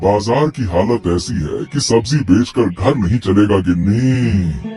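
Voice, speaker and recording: A man's cartoonish character voice, fairly low in pitch and at a fairly slow pace, over clear music in the background. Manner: worried, sighing.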